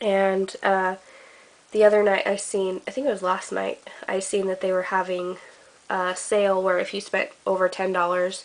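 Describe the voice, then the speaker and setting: Her pitch is medium and her pace moderate. The woman's intonation stays monotone and flat. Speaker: crafting vlogger. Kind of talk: casual craft show-and-tell. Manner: halting with frequent fillers.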